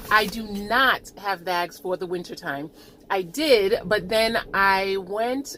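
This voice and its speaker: A woman talks at a medium pitch in a bright, sharp tone. Her pitch varies in an ordinary way. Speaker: lifestyle vlogger. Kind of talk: casual tutorial.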